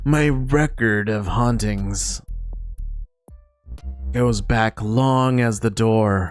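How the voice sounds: A man puts on a creaky character voice at a medium pitch, speaking very slowly. He leaves long, frequent pauses while faint music plays behind him.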